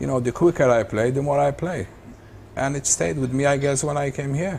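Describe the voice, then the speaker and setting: At a fairly quick pace, a man talks in a somewhat breathy voice with a fairly high pitch and ordinary pitch variation. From Malta. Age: 70s. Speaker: professional snooker player. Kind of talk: interview. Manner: halting.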